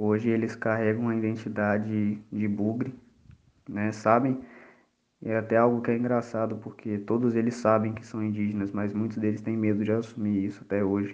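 Audible room echo surrounds a man speaking in a fairly low pitch. His intonation is monotone and flat. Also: moderate pace. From Brazil, Espírito Santo. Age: 20s. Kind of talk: personal testimony.

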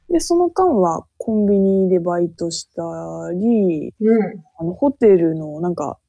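A woman in a Yamagata accent talks at a very slow pace, with a medium pitch and a dark, mellow tone. The sound is dry and close, with no echo. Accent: Shonai dialect of Yamagata. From Japan, Shonai region of Yamagata. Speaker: podcast co-host. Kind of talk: casual chat.

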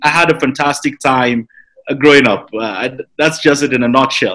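Fairly slow and fairly high-pitched, a man's bright, sharp voice shows ordinary pitch variation. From Nigeria. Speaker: entrepreneur and investment banker. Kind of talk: interview.

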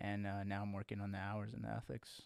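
Someone with an American accent speaks in a dry, close sound with no echo. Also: man. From Lubbock, Texas. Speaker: financial paraplanner. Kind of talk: casual chat.

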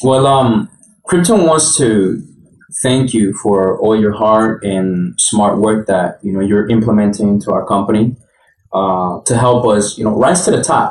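Speaking in a normal speaking voice, a man talks at a fairly slow pace with a fairly low pitch and ordinary pitch variation. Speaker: podcast co-host. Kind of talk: interview.

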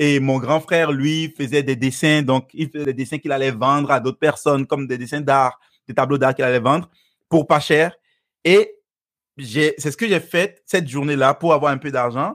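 A man's normal speaking voice, fairly high in pitch, with fairly even intonation at a moderate pace, on a very clean recording with a silent background. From Benin. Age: 30s. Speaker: personal development speaker. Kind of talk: interview.

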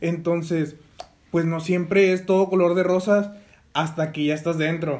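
At a fairly slow pace, a man speaks at a high pitch in a monotone, flat intonation. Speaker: podcast co-host, business administration student. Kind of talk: casual chat.

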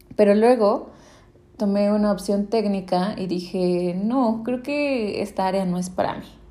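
A dark, mellow tone at a fairly slow pace, with ordinary pitch variation and audible room echo. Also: woman, medium pitch for a woman. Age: 20s. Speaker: podcaster. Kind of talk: solo monologue podcast.

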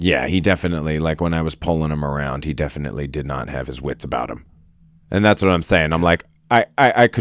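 Recorded very cleanly against a silent background, a man speaks at a very deep, low pitch with vocal fry and ordinary pitch variation. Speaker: podcast co-host. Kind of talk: casual chat. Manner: loud.

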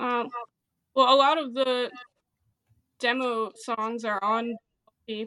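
Using a high, bright, sharp voice with an American accent, a woman speaks at a very slow pace with long, frequent pauses. Her intonation is monotone and flat. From central New Jersey. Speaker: indie rock bassist and guitarist. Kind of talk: casual interview chat. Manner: halting, many fillers.

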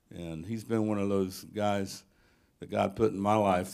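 A man's fairly low voice at a fairly quick pace, fairly even in intonation, on a very clean recording with a silent background. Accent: American. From US South (Tennessee). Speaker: church member introducing the speaker. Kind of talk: speaker introduction. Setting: church. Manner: halting.

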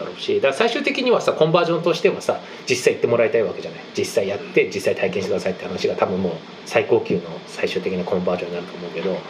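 A man's voice over noticeable background noise. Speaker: podcast co-host. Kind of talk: casual chat. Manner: fast; dense, steady flow.

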